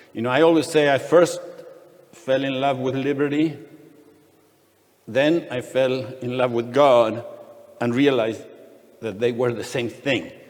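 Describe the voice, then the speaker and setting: In a room with audible echo, a man speaks fairly slowly at a medium pitch with fairly even intonation and long, frequent pauses. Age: 60s. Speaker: economist and freedom advocate, panel speaker. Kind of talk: conference panel talk. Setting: conference panel with audience. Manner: halting, many fillers and restarts.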